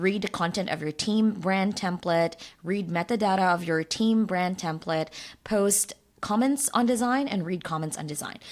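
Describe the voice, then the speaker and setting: Delivered at a moderate pace with a non-native accent, the speech shows ordinary pitch variation. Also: woman, medium pitch for a woman. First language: not English. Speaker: design tool educator, YouTuber. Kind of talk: software tutorial. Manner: casual, with frequent fillers.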